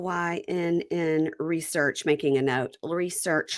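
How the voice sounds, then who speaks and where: A woman speaks with a slight Southern accent in an animated tone. Her pace is fairly slow. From Mississippi. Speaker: podcast host. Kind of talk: casual chat.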